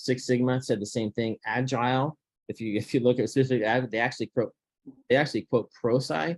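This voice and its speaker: A fairly quick pace with ordinary pitch variation. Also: man. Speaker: process improvement presenter. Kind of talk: workplace presentation. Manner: fast; halting, many repetitions.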